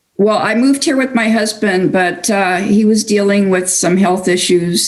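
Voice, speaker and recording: A woman with a plain, everyday voice, medium pitch, ordinary pitch variation, very even loudness and a moderate pace. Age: 60s. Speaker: online community member. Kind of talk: personal interview.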